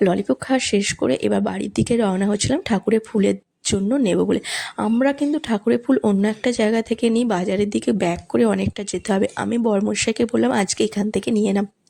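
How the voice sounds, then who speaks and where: A woman speaks at medium pitch in a dark, mellow tone with lively intonation. The recording is very clean with a silent background, and the sound is dry and close with no echo. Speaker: vlogger. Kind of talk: casual vlog narration. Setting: outdoors at a crowded fair.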